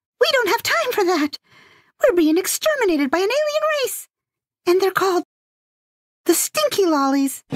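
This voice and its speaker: In a put-on character voice at an extremely high pitch, the speaker moves at a moderate pace with very wide pitch swings and long, frequent pauses. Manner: nervous, frazzled, defensive.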